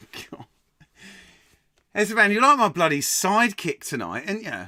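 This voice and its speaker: A man with an English accent, high-pitched, bright and sharp in tone, animated, lively in intonation, at a moderate pace, with a raised, projected voice and big swings in loudness. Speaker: quiz host. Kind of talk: live-streamed pub quiz hosting, reading chat. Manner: animated, casual.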